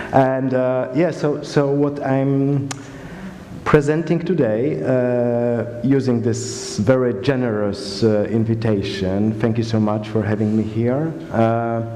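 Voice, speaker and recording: In a strong Slavic accent, a man speaks at a very slow pace and a medium pitch with ordinary pitch variation, amid noticeable background noise and audible room echo. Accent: heavy Slavic. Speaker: museum curator. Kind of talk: conference talk. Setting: stage with audience. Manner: casual.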